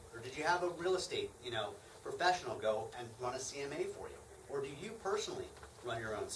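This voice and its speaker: Noticeable noise fills the background. A male voice comes through over it. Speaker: hard money lender presenting to real estate investors. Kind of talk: lecture. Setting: live seminar with audience. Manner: fast talker; talkative. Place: meeting room. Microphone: camera far.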